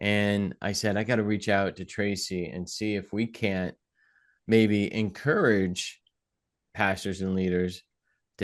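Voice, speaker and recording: A man with a New England accent speaks at a fairly slow pace with fairly even intonation. The background is quiet. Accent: New England, drops his G's. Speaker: podcast host. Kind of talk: podcast interview; scripted intro.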